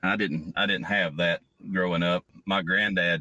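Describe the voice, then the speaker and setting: Very deep and low in pitch, a man speaks at a fairly slow pace. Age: 40s. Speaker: podcast host. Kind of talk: interview.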